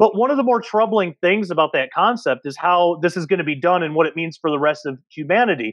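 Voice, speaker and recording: A man at a very fast pace with hardly any pauses, high-pitched with lively intonation, dry with no echo against a quiet background. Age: 30s. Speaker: podcast host and researcher; podcast host. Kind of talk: casual panel discussion. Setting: video call. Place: home room. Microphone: earbuds.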